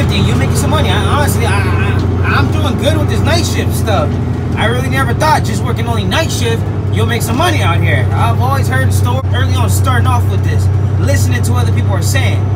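A man talking very fast over loud background noise. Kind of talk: casual vlog chat. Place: car. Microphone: phone near.

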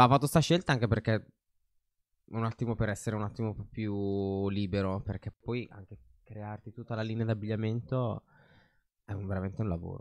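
With dry sound and no echo, a man speaks at a moderate pace and fairly low pitch, his intonation fairly even, his loudness swinging widely and his pauses long and frequent. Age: young. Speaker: fashion designer; podcast guest. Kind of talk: casual chat. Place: studio. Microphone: studio mic.

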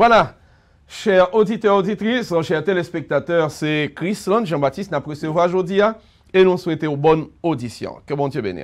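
Against a quiet background, a man speaks in a high pitch at a moderate pace with ordinary pitch variation. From Haiti. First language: Haitian Creole (speaking French). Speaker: pastor and radio host; pastor, radio host. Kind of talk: radio interview. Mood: warm, smiling. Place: studio.

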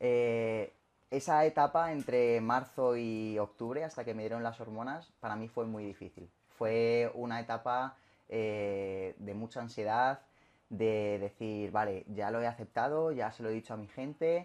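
A man's voice, moving at a fairly slow pace, shows ordinary pitch variation. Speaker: interviewee. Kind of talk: interview answer. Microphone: camera far.

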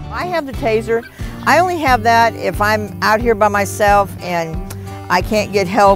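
Clear music plays behind a woman with an American accent. She speaks at a moderate pace, and the sound is dry with no echo. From Texas. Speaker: truck driver. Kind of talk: interview answer. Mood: calm, matter-of-fact. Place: garden. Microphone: lapel.

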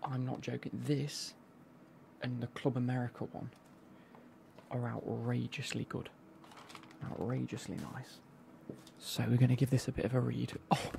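At a moderate pace with long, frequent pauses, a man speaks in a dry, echo-free sound with light background noise. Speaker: football kit unboxing creator. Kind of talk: casual vlog chat. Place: home room. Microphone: studio mic.

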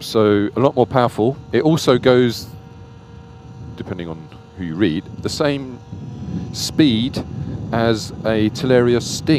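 A man speaks slowly at a medium pitch with lively intonation. Faint background noise can be heard. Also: slightly mellow tone.

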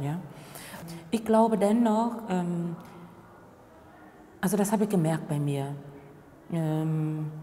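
A woman with a Vietnamese accent talks at a fairly slow pace. Her intonation is lively, with light background noise. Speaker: diversity trainer and former contract worker. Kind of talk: interview answer. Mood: calm, reflective, earnest.

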